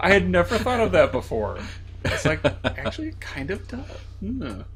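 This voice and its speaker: Against noticeable background noise, a man keeps a moderate pace while his loudness swings widely. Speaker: gaming co-streamer. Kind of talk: casual gameplay commentary. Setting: live stream.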